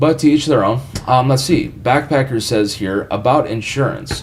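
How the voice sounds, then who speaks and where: There is noticeable background noise behind this voice. A man talks with lively intonation. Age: 20s. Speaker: professional musician, guitarist and YouTuber. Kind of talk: live stream Q&A. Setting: home studio. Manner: casual, filler-heavy.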